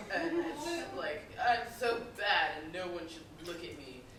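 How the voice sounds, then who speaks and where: A woman's voice with very wide pitch swings amid noticeable background noise. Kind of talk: convention panel talk.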